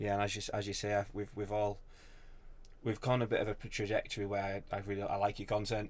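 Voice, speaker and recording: A very fast pace with monotone, flat intonation, in a northern English accent. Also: man, fairly low pitch for a man. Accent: broad northern English. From northern England. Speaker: social media business owner. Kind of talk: casual podcast chat. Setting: in-person podcast with mics.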